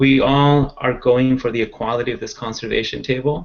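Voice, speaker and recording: A man with a Spanish accent, fairly quick in pace and monotone, flat in intonation. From Central Valley of California (born in Mexico, moved at nine). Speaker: conservation advocate panelist. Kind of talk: panel discussion. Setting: video call. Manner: hesitant, with frequent fillers.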